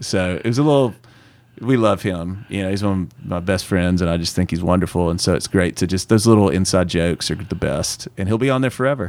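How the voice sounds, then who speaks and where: This man talks at a fairly quick pace in a very deep, low pitch with ordinary pitch variation. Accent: strong Southern US. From US South. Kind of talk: casual interview chat.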